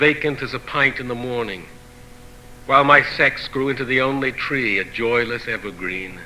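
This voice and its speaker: A man with a medium pitch and ordinary pitch variation keeps a moderate pace while noticeable background noise carries on behind him. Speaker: poet. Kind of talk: poetry reading.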